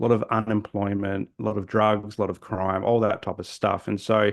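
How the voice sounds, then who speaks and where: In an Australian accent, a man talks at a fairly quick pace. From South Australia, Adelaide. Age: 40s. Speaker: social worker. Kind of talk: podcast interview. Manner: halting, many repetitions and fillers.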